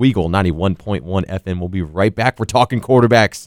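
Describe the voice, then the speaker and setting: A man with a plain, everyday voice speaks at a fairly low pitch with lively intonation. The sound is dry and close with no echo, on a very clean recording with a silent background. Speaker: college radio sports host. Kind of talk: sports talk radio. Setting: studio.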